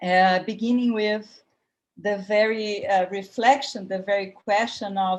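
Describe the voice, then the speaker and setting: A woman speaks at a medium pitch with a Brazilian accent, her intonation monotone and flat, at a fairly slow pace. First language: Portuguese. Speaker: academic panelist. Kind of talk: panel talk. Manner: hesitant, with fillers.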